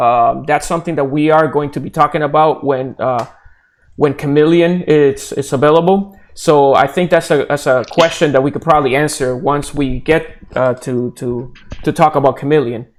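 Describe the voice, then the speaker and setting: A man talks in a fairly high register, his intonation fairly even and his pace moderate. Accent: Puerto Rican. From Puerto Rico. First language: Spanish. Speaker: blockchain developer. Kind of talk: live stream Q&A. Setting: live video stream. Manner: hesitant, repeats words often.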